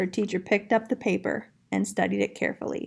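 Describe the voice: A woman talks at a fairly quick pace with vocal fry, a slightly husky edge, and little pitch movement. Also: medium pitch for a woman.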